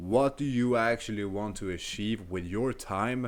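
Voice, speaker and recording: A man with a non-native accent, medium pitch, ordinary pitch variation and a moderate pace, on a very clean recording with a silent background. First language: not English. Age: 20s. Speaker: self-improvement coach. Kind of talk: motivational talk to camera. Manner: casual, conversational.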